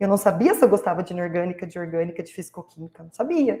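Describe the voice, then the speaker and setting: This woman talks at a very fast pace. Her tone is animated and her intonation lively. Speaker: chemistry researcher, former teaching-degree student. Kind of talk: panel talk recounting career path.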